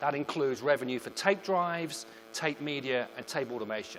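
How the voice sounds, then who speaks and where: A man with a British accent talks at a moderate pace. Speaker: product marketing manager. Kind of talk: presentation. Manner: formal.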